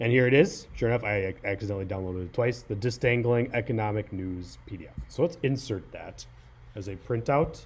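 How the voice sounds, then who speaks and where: A man speaks at a fairly quick pace. His voice sits at a medium pitch with fairly even intonation. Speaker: high school teacher. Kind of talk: tutorial. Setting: screen recording on a laptop. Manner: fast; hesitant, many fillers.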